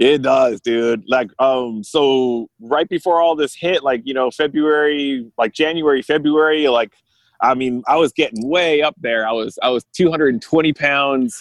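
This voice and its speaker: Speaking with a Californian accent, a man uses a fairly high pitch. His pace is fairly slow, with ordinary pitch variation. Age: 40s. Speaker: musician and guitar maker. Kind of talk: casual chat. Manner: animated, laughs often.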